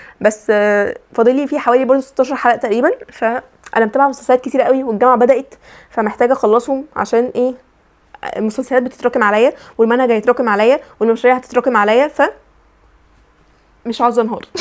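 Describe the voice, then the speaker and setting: A very fast, high-pitched woman's voice with an Egyptian accent, fairly even intonation and long, frequent pauses. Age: young. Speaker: university student. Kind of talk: casual vlog talk to camera.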